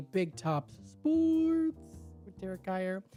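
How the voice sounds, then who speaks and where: A female-sounding put-on character voice at medium pitch plays over faint music in the background. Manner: dramatic announcer delivery.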